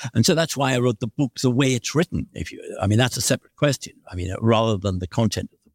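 With a British accent, a man speaks at a very fast pace and with lively intonation. The sound is dry and close with no echo, on a very clean recording with a silent background. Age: 70s. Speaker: professor and author. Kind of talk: interview conversation. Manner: hesitant, fillers.

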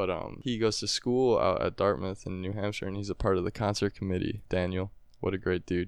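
An unremarkable speaking voice with an American accent, fairly even intonation and a fairly quick pace over a quiet background. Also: man, fairly low pitch for a man. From US Midwest, Wisconsin (Appleton). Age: young. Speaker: singer-songwriter. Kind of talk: casual interview. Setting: studio.

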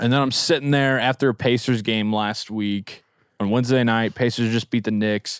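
A man with an ordinary speaking voice talks at medium pitch and a moderate pace. His intonation stays fairly even. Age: 20s. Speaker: podcast host. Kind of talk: casual chat. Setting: studio.

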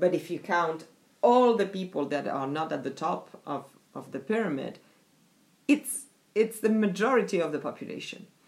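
A woman with a French accent, fairly low pitch, very wide pitch swings, moderate pace and long, frequent pauses. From France. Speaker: diversity and inclusion specialist. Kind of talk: interview. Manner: hesitant, many fillers.

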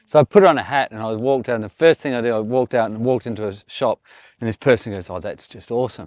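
A man with an Australian accent talks at a very fast pace, with ordinary pitch variation and big swings in loudness. The background is quiet, and the sound is dry and close with no echo. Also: medium pitch for a man. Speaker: chef. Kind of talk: casual chat while cooking outdoors. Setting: outdoors in the desert at a barbecue.

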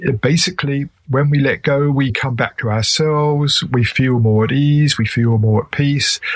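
A man with an English accent at a moderate pace, with hardly any pauses. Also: fairly high pitch for a man, ordinary pitch variation. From England. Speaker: author and meditation teacher. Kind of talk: interview.

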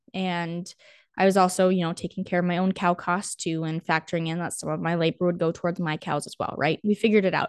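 A woman with a fairly low pitch talks at a very fast pace in a monotone, flat intonation. The background is quiet. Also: dry, close sound with no echo. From North Dakota. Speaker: rancher and podcast host. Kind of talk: casual solo talk.

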